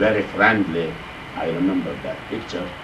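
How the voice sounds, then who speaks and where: Both audible room echo and noticeable background noise accompany a man's voice. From Turkey, Sakarya province. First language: Turkish. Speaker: Islamic scholar and Quran teacher. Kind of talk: lecture. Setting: mosque class. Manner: halting.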